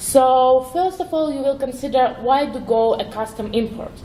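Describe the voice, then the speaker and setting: A woman with a non-native accent speaks at a high pitch and a moderate pace, with ordinary pitch variation, noticeable background noise and audible room echo. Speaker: web developer, conference speaker. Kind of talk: conference talk. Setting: stage with audience. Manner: hesitant, with fillers.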